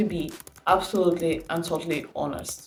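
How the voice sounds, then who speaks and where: A woman with a fairly low pitch against noticeable background noise. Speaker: youtuber giving startup advice. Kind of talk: casual advice monologue. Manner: animated.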